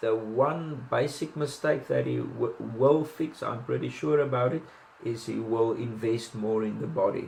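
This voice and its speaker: Speaking in a South African accent, a man keeps a fairly slow pace. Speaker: boxing commentator. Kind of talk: casual analysis monologue. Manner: hesitant, many fillers and restarts.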